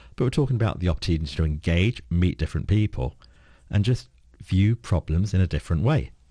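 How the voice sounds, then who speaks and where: A man with a London accent speaks at a fairly quick pace in a very deep, low pitch, his dark, mellow tone carrying vocal fry and lively intonation on a very clean recording with a silent background. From London (Peckham). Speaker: board director and strategic advisor. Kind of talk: radio interview answer.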